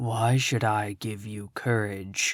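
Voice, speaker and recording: A man uses a put-on character voice at a fairly low pitch. He speaks quietly. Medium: read story. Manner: calm, stern.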